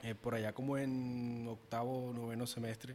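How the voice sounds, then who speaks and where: A man at a medium pitch, monotone and flat, at a fairly slow pace. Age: 20s. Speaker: podcast co-host, marketing consultant. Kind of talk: casual chat.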